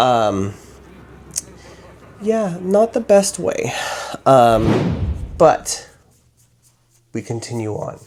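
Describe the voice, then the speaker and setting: This man speaks. His tone is playful. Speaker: drag performer and horror book reviewer. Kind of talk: casual talk to camera, makeup tutorial and book review. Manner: chatty, playful.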